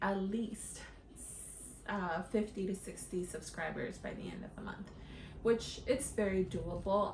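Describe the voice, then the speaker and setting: A woman's voice with audible room echo. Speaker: lifestyle vlogger. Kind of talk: casual tutorial to camera. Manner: many fillers like um and uh.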